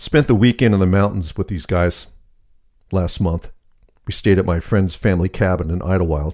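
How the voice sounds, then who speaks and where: This man has a very deep, low pitch and a dark, mellow tone. He talks at a moderate pace with ordinary pitch variation. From rural area. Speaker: solo podcast host. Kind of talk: casual monologue.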